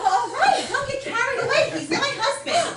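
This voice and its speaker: A woman puts on a squeaky character voice, pitched extremely high. She talks at a moderate pace. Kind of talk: stage farce comedy. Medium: stage play. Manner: sharp, sardonic.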